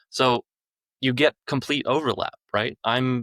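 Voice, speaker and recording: The recording is dry and close with no echo, carrying a man with an ordinary speaking voice and an American accent who speaks at a moderate pace with fairly even intonation. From United States. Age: 40s. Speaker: business owner, staffing firm executive. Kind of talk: podcast interview.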